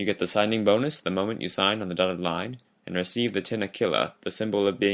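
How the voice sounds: What you hear is a natural reading voice.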